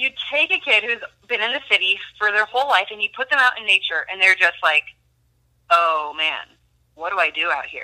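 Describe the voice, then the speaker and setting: A woman speaks at a fairly quick pace with a fairly high pitch and lively intonation, yet leaves long, frequent pauses. The sound is dry and close with no echo. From Minnesota. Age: 20s. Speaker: student and former wilderness therapy counselor. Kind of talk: faith testimony in casual interview. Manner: hesitant with many fillers.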